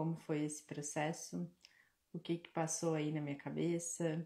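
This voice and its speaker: Soft-spoken, a woman talks at a fairly slow pace in a very deep, low voice. Her tone is dark and mellow, her intonation monotone and flat. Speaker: spiritual mentor and live-stream host. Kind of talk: live-stream Q&A talk. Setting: live stream. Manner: soft-spoken, quiet. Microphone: quiet, mic held close.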